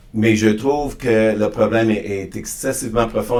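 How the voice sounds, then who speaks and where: Room echo is audible around a man's fairly low voice. He speaks at a fairly slow pace. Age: 60s. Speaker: podcast guest on diversity and inclusion. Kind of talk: interview conversation. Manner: halting, frequent repetitions and restarts.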